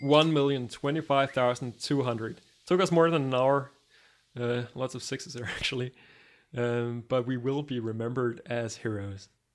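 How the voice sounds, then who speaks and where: With a strong Danish accent, a man talks at a moderate pace and medium pitch. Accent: heavy Danish. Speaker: gaming youtuber. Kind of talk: let's play commentary. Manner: animated; halting, many fillers.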